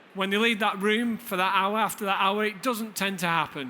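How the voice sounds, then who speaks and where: With a northern English accent, a man talks at a fairly quick pace in a raised, projected voice, high-pitched and bright, sharp in tone. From Lancashire, northern England. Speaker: deputy head teacher. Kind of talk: conference presentation. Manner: hesitant fillers.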